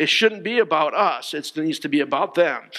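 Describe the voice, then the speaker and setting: A man with a high pitch speaks at a moderate pace over a quiet background. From Connecticut, US. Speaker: pastor. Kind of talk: sermon. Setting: church, streamed online with no congregation. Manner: halting, frequent fillers and repeated words. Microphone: headset.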